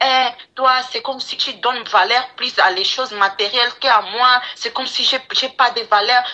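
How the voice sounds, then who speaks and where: Amid noticeable background noise, a woman with a non-native accent talks at a fairly slow pace. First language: English (speaking French). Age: 20s. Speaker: caller. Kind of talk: phone-in call. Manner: halting.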